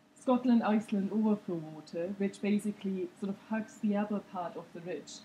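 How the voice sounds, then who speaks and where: At a moderate pace and with fairly even intonation, a woman talks over light background noise. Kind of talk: lecture. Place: hall.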